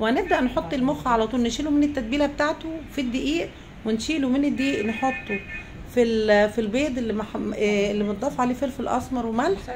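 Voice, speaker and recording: Against noticeable background noise and audible room echo, a woman speaks fairly quickly at a high pitch with ordinary pitch variation. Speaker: cooking show host. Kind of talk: cooking tutorial. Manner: casual, chatty.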